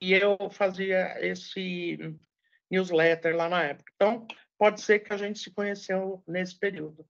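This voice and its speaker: A woman with a medium pitch speaks at a fairly slow pace in a monotone, flat intonation, her loudness swinging widely. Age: 60s. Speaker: journalist and public relations professional. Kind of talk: interview.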